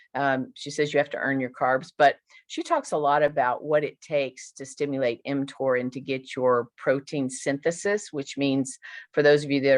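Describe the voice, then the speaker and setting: Against a quiet background, a woman with a very deep, low pitch speaks at a moderate pace with fairly even intonation. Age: 60s. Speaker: nurse. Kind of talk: casual chat.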